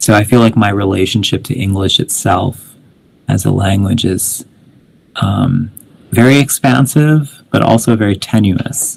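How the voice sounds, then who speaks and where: A man speaks at a fairly slow pace in a fairly low voice. His tone is somewhat breathy, with ordinary pitch variation. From Canada (Winnipeg), early childhood in India. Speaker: poet. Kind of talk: poetry reading with commentary. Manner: halting, many fillers.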